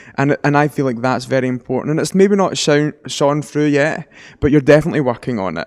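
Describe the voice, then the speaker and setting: With a Glasgow accent, a man talks at a fairly quick pace in a fairly high pitch with ordinary pitch variation. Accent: Scottish (Glasgow area). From West of Scotland. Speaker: angel communicator and medium. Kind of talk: psychic reading.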